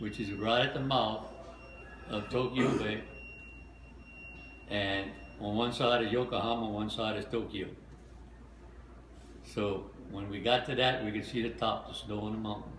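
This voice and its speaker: There is noticeable background noise as a man of fairly low pitch speaks at a moderate pace with monotone, flat intonation and long, frequent pauses. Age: 80s+. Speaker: war veteran. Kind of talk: interview answer.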